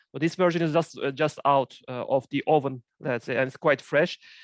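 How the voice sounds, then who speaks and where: A man with a Turkish accent at a fairly quick pace, his intonation fairly even, in a dry, close sound with no echo and a quiet background. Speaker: finance professor. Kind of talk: academic seminar presentation. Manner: halting, many fillers.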